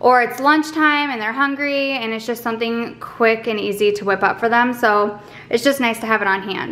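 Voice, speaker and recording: With ordinary pitch variation, the woman speaks at a moderate pace. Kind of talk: casual vlog chat. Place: home room. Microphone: camera far.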